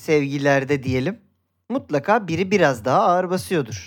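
Pitch swings very widely throughout. The recording is very clean, with a silent background. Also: man. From Turkey, Izmir. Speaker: football podcast co-host. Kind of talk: casual chat.

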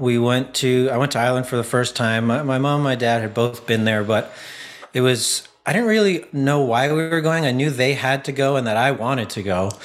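The man has an ordinary speaking voice and a medium pitch. His pace is moderate and his pitch variation ordinary. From Canada. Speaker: comedian and filmmaker. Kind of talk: interview.

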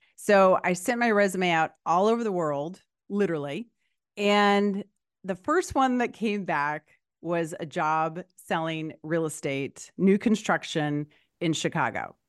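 Using a plain, everyday voice, a woman speaks at a fairly slow pace with a fairly low pitch and ordinary pitch variation, the background quiet. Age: 50s. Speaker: podcast host and life coach. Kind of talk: casual interview.

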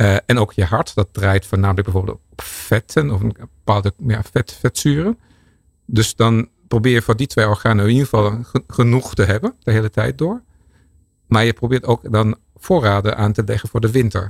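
Somewhat breathy, a man speaks at a moderate pace and a fairly low pitch, the sound dry and close with no echo. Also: ordinary pitch variation. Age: 50s. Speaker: research scientist. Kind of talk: expert interview. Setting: studio.

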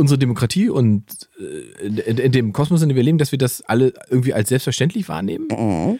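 Dry and close with no echo, a man speaks at a fairly quick pace with lively intonation and a dark, mellow tone. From eastern Germany, Salzwedel (Saxony-Anhalt). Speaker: comedian and podcast co-host. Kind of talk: casual chat. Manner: animated.

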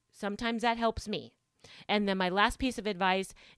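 A woman with an ordinary speaking voice talks at a fairly quick pace in a dry, close sound with no echo. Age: 50s. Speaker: podcast host and executive assistant. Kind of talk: solo podcast monologue. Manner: casual, chatty with frequent fillers and self-corrections.

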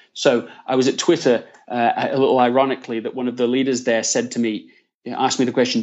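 A man with an English accent at medium pitch, at a very fast pace. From northern England (Leeds). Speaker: author. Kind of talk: interview. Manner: hesitant with fillers.

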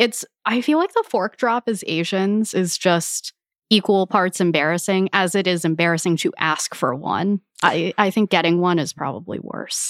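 In a plain, everyday voice with a General American accent, the speaker talks at a moderate pace with ordinary pitch variation, recorded very cleanly against a silent background with a dry, close sound and no echo. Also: woman, medium pitch for a woman. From United States, Filipino heritage. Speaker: food media guest. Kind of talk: casual chat.

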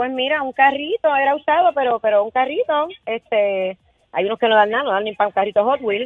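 High in pitch, a woman with a Puerto Rican accent speaks with lively intonation. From Puerto Rico, Canóvanas. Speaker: radio caller. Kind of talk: casual phone-in chat.

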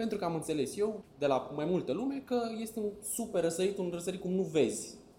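The pitch swings very widely at a moderate pace. Room echo is audible throughout. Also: man. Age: 20s. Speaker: travel YouTuber. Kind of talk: casual interview chat.

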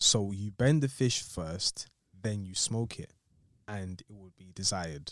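This man has an Essex accent and a fairly low voice, with ordinary pitch variation and big swings in loudness. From southeast England, Tanzanian heritage. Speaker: podcast co-host. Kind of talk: casual chat.

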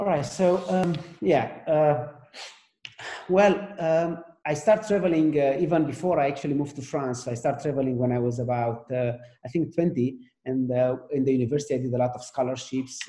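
A man with a Romanian accent at a fairly high pitch, moderate pace and ordinary pitch variation. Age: 40s. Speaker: AI research executive. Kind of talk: interview. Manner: halting.

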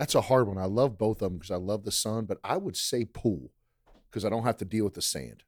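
Recorded very cleanly against a silent background, a man with an American accent speaks at a fairly quick pace in a fairly low pitch, showing vocal fry and ordinary pitch variation. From Maryland, US. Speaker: university athletics director. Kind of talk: podcast interview.

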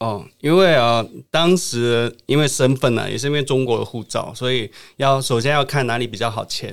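This man has an unremarkable speaking voice, pitched medium, with ordinary pitch variation and a moderate pace. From Qingdao, Shandong, China. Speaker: travel influencer. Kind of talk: casual interview.

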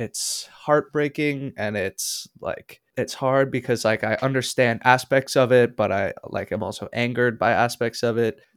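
With a plain, everyday voice and an American accent, a man speaks at medium pitch and a fairly slow pace, with fairly even intonation and hardly any pauses, on a very clean, dry, close recording with a silent background and no echo. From Minneapolis, US Midwest. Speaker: musician and producer. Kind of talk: interview.

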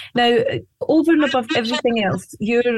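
A woman speaks with a Scottish accent. She keeps a moderate pace. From Scotland. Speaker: psychic medium. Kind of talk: interview with on-air readings.

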